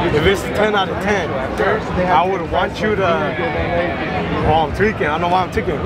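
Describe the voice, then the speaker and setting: Loud background noise fills the clip, though the sound itself is dry with no echo. A man talks at a moderate pace. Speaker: fan meeting a creator. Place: market.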